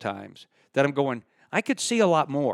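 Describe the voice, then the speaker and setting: A man speaks with lively intonation. The sound is dry and close with no echo, on a very clean recording with a silent background. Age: 60s. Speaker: retired circus performer and YouTuber. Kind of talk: casual chat. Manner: loud.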